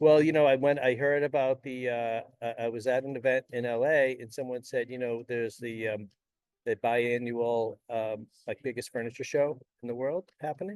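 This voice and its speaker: Delivered at a moderate pace with fairly even intonation, the speech has an American accent and a dry, close sound with no echo. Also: man, medium pitch for a man. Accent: Boston accent, comes out at times. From Boston area, Massachusetts. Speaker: forum host, entrepreneur. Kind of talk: casual chat.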